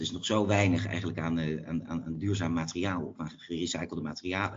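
Speaking at a very fast pace, a man with a very deep, low pitch shows ordinary pitch variation. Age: 40s. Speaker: entrepreneur, company co-founder. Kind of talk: interview. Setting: phone call. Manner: hesitant, many fillers and repeats.

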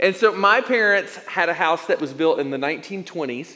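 Speech at a moderate pace comes in an American accent. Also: man. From East Tennessee. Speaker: pastor. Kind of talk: sermon. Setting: church.

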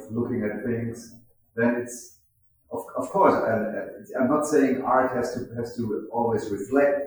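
A man with a German accent speaks at a very slow pace, his somewhat breathy voice fairly even in intonation against audible room echo. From Germany, Mannheim. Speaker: festival founder and director. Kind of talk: interview. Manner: halting, repeats words.

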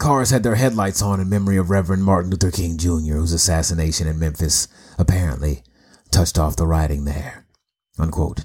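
A man's very deep, low voice, somewhat breathy and dark and mellow in tone, at a fairly quick pace. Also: ordinary pitch variation. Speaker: podcast host. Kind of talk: solo podcast monologue, with a read-out newspaper report. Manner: measured, formal, solemn news-style reading in the 31:42 stretch; earnest, articulate, lecture-like.

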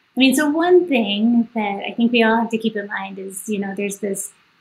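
With an American accent, a woman talks at a moderate pace and a fairly high pitch over noticeable background noise. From US South, Kentucky. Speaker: planetary scientist. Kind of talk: onstage interview. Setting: festival stage.

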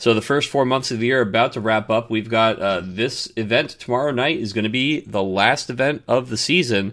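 In a normal speaking voice, a man talks at a fairly quick pace with ordinary pitch variation and hardly any pauses. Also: medium pitch for a man. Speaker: podcast host. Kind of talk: casual chat. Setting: video call. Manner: excitable.

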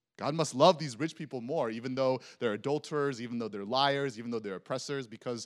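On a very clean recording with a silent background, a man with an American accent and an ordinary speaking voice talks at a fairly quick pace, medium in pitch with ordinary pitch variation. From Texas. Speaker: preacher. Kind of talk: sermon. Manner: casual, conversational.

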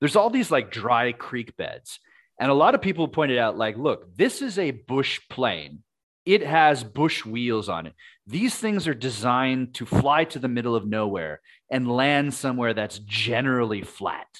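Lively in intonation, a man speaks at medium pitch and a moderate pace in a plain, everyday voice. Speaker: podcast co-host. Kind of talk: casual comedic chat. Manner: conversational, joking.

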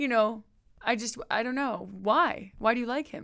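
With an American accent, a woman talks at a fairly high pitch in an unremarkable speaking voice. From Texas. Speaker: friend of host. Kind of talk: casual chat. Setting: office conference room.

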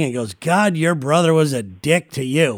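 An ordinary speaking voice from a man, fairly high in pitch with ordinary pitch variation. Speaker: podcast host. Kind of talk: casual chat.

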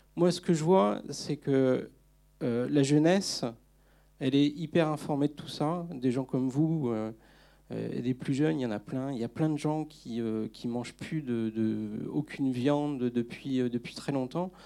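A man with a medium-pitched, dark and mellow voice speaks at a very slow pace with ordinary pitch variation on a very clean recording with a silent background. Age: 40s. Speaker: climate activist, debate organizer. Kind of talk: public debate after film screening. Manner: halting, many repetitions.

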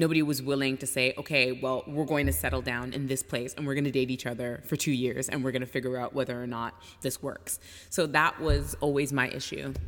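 Her voice is very deep and low, with vocal fry and a Canadian accent. This woman keeps a fairly quick pace and fairly even intonation. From Canada, Toronto. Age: 30s. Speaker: travel writer and educator. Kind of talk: casual interview.

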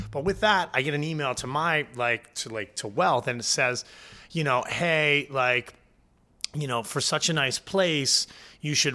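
With a New Jersey accent, a man speaks at a medium pitch and a fairly slow pace, in a bright, sharp tone with ordinary pitch variation. The recording is very clean, with a silent background. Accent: New Jersey American. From New Jersey, Point Pleasant (Jersey Shore). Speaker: chef and catering business founder. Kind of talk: casual interview chat. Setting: studio. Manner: animated.

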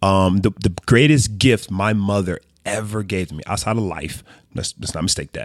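A man talks with an ordinary speaking voice. His pitch is fairly low, with ordinary variation, at a moderate pace. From US South, Mississippi, moved around often. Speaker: sports and entertainment business executive. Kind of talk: casual chat.

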